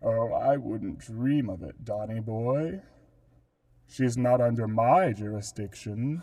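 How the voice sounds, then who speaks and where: A man's put-on character voice, medium in pitch and fairly slow, on a very clean recording with a silent background. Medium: stage play. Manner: mocking, sneering.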